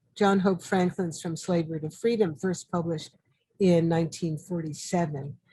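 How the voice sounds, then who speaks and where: At a moderate pace, the voice has an American accent, a dark, mellow tone, a somewhat breathy quality and fairly even intonation. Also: woman, fairly low pitch for a woman. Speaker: artist and historian. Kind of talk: interview. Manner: halting.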